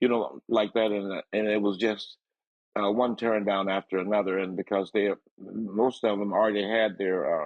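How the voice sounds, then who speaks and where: A man speaks at a moderate pace with a fairly low pitch. His intonation stays monotone and flat. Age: 80s+. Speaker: soul singer. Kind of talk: interview. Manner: halting.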